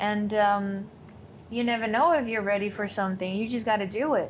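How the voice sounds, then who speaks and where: Heard with audible room echo, a woman with a non-native accent has a somewhat breathy voice at a fairly high pitch and ordinary pitch variation. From Thailand. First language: not English. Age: 20s. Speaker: course client. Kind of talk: interview.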